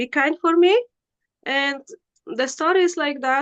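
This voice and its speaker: A woman with a Polish accent and a bright, sharp tone, in a dry, close sound with no echo against a quiet background. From Poland. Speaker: spiritual practitioner. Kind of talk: interview. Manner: halting.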